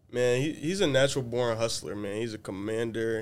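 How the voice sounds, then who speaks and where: In an American accent, a man with an ordinary speaking voice talks at a moderate pace and medium pitch, his intonation fairly even, on a very clean recording with a silent background. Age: young. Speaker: college student. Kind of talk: casual chat.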